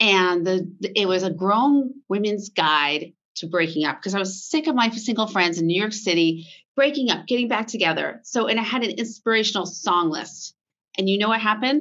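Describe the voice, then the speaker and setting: The speaker has a normal speaking voice with an American accent. Delivery comes at a moderate pace. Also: woman, medium pitch for a woman, lively intonation. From US, Vermont. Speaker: fashion brand founder. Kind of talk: interview.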